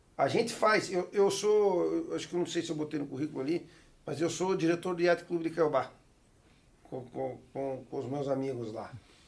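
A man talks at a moderate pace in a plain, everyday voice. His pitch is fairly high, with ordinary pitch variation. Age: 40s. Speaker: TV network executive and sport fisherman. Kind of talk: casual chat.

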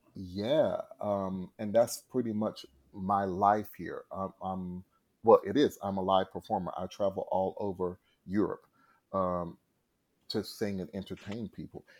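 At a fairly slow pace, a man with an American accent and an ordinary speaking voice talks at a fairly low pitch with fairly even intonation and big swings in loudness, on a very clean recording with a silent background. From North Carolina, US South. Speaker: singer and live performer. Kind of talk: casual interview.

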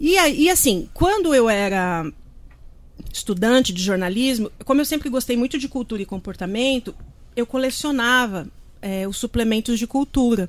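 A woman's high voice with lively intonation, on a very clean recording with a silent background. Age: 50s. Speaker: journalist and author. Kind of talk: casual chat. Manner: fast.

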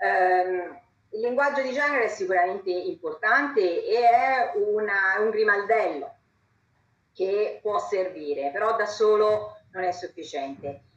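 At a very slow pace, a woman speaks in a fairly high pitch with very wide pitch swings. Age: 50s. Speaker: law professor, vice-rector. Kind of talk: panel talk.

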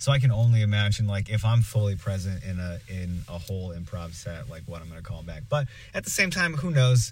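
Hardly pausing, a man speaks at a fairly quick pace with lively intonation, a somewhat breathy voice and big swings in loudness, on a very clean recording with a silent background. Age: 20s. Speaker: improv performer. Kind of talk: casual chat. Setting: recording in a truck.

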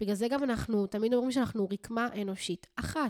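A woman's animated tone with ordinary pitch variation comes through dry and close with no echo, on a very clean recording with a silent background. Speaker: spiritual coach and podcast host. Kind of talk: casual solo monologue.

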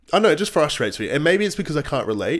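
Lively intonation marks this man's speech in a very clean recording with a silent background. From Australia. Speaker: podcast co-host, fitness coach. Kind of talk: casual chat.

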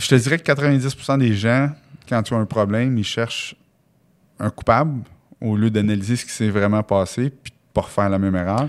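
Medium-pitched male speech with a Quebec accent, ordinary pitch variation and long, frequent pauses. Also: moderate pace. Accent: Québécois French. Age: 40s. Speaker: real estate investor and entrepreneur. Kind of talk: podcast interview. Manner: casual, animated.

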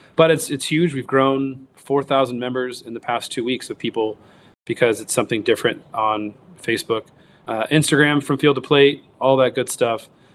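Speaking at a fairly quick pace, a man with a normal speaking voice has an American accent. His pitch is medium and his intonation fairly even. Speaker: hunter and wild game cook. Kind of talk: podcast interview.

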